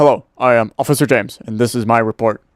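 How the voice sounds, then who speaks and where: In a put-on character voice, a man rattles along at a very fast pace with medium pitch. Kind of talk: stiff, official, comic. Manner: silly, goofy.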